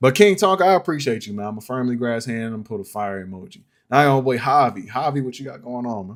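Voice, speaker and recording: A man's voice at medium pitch. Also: very clean recording, silent background. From upstate New York. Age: 30s. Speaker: music producer streamer. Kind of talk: live stream beat review. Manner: casual, rambling.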